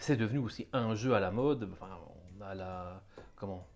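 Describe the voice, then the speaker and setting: With an ordinary speaking voice, a man talks at a moderate pace, fairly low in pitch, with ordinary pitch variation. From Belgium. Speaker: board game interviewer. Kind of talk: interview.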